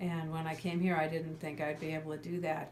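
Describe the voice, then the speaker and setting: A woman's very deep, low voice at a fairly quick pace, flat and monotone, with audible room echo and noticeable background noise. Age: 60s. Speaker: psychologist, client telling her recovery story. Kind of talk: testimony. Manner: halting, repeats words.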